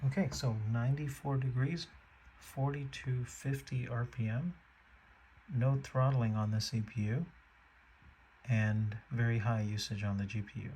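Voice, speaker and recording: A man's somewhat breathy whispering, with long, frequent pauses. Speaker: tech reviewer. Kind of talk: product demo narration. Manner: halting.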